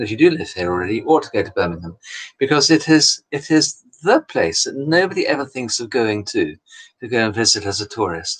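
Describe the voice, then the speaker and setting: With vocal fry, a man speaks at a medium pitch. His pitch swings are very wide. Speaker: Orthodox priest hosting a livestream. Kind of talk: casual livestream chat answering comments. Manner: hesitant, with fillers and repeated words.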